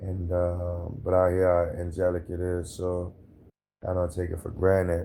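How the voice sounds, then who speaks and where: Calm in tone, a man speaks with a very deep, low pitch and monotone, flat intonation. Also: moderate pace. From Louisiana, New Orleans area. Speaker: hurricane survivor, former Marine. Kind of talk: interview testimony.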